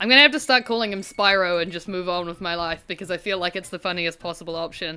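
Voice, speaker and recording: A woman with a strong New Zealand accent talks very fast in a bright, sharp tone at a fairly low pitch, with ordinary pitch variation. The recording is very clean, with a silent background. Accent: strong rural New Zealand. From rural New Zealand. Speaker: gaming streamer. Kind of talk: casual gameplay livestream commentary. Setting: livestream.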